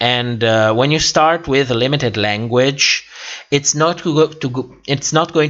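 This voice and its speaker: A man with a medium pitch talks at a fairly slow pace with ordinary pitch variation. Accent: non-native. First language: not English. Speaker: YouTuber hosting a livestream. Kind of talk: livestream chat reading viewer comments. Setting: livestream. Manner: halting with many fillers.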